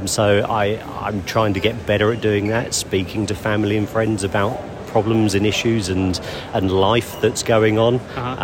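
Noticeable background noise sits behind a man with a British accent who speaks with fairly even intonation. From UK. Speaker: tourist interviewed. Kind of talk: casual interview chat. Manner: reserved, hesitant.

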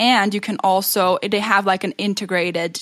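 The intonation stays fairly even here. A woman talks at a moderate pace. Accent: non-native. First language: not English. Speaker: podcast co-host. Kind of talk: casual chat.

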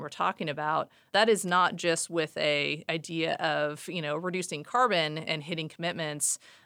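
A woman with an American accent and a bright, sharp tone speaks at a moderate pace in a fairly low pitch with fairly even intonation, captured in a very clean recording with a silent background. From US Pacific Northwest, Seattle. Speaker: retail sustainability executive. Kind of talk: interview.

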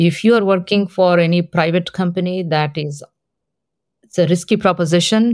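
A woman talks in an Indian accent with a fairly low pitch and fairly even intonation. Her pace is moderate, on a very clean recording with a silent background. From Hyderabad, India. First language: Telugu. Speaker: tech executive. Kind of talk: interview.

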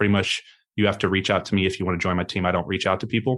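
A man with a fairly low voice speaks against a quiet background. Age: 30s. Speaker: entrepreneur. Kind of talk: interview. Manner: fast; energetic.

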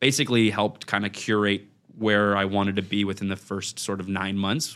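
A Canadian accent on a very clean recording with a silent background. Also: man. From Ottawa, Canada. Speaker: realtor and real estate investor. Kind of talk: casual interview. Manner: loud.

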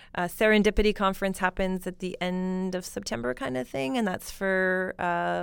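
A woman with an unremarkable speaking voice talks at a moderate pace and medium pitch, with ordinary pitch variation. She has a Canadian accent, and the recording is very clean with a silent background. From Alberta, Canada. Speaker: startup network founder and CEO. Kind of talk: interview.

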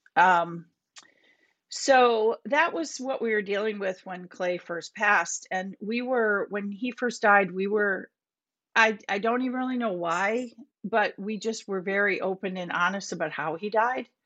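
A woman at a medium pitch with a plain, everyday voice, fairly slow, with ordinary pitch variation. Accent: American. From Minnesota. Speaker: bereaved parent and prevention advocate. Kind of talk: podcast interview.

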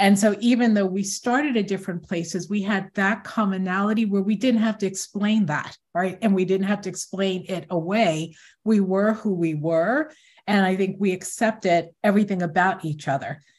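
With an American accent, a woman speaks at a moderate pace in a medium pitch, somewhat breathy, with ordinary pitch variation on a very clean recording with a silent background. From Newark, New Jersey. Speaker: tech company founder. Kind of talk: interview.

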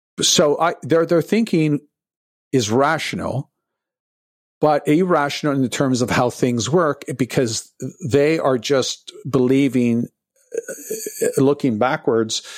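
Speaking at a fairly slow pace, a man has an unremarkable speaking voice with a Canadian accent. His pitch is fairly high, with ordinary variation. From Canada, Toronto. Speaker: economic forecaster. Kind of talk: interview.

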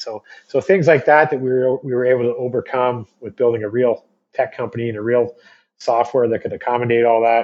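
With an ordinary speaking voice, a man talks at a fairly quick pace at medium pitch and with fairly even intonation. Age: 40s. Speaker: entrepreneur. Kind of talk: interview conversation.

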